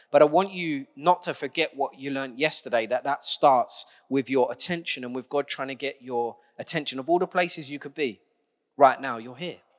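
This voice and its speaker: A man with an unremarkable speaking voice talks at a fairly quick pace, fairly high in pitch, with ordinary pitch variation. His loudness swings widely, and the sound is dry and close with no echo. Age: 40s. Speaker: preacher. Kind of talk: sermon.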